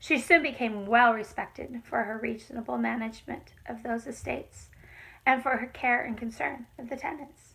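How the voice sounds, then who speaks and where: In a raspy put-on character voice, a woman speaks at a fairly high pitch and a moderate pace, her intonation fairly even but her loudness swinging widely. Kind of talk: folk tale reading. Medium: read story. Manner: plain, earnest, slightly halting.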